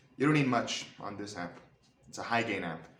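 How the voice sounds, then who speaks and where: A man is speaking. Audible room echo and noticeable background noise come through. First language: not English. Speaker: guitarist, YouTuber. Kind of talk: tutorial. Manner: halting, many fillers.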